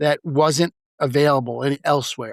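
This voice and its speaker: In a very clean recording with a silent background and a dry, close sound free of echo, a man talks in a New York accent. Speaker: real estate broker and mindfulness speaker. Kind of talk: podcast interview. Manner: fast.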